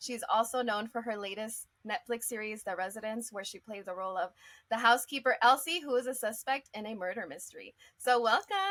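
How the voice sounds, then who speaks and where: A woman with a plain, everyday voice and a fairly high pitch speaks at a fairly quick pace, her loudness swinging a lot and her pitch varying in an ordinary way. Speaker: interviewer. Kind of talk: interview questions.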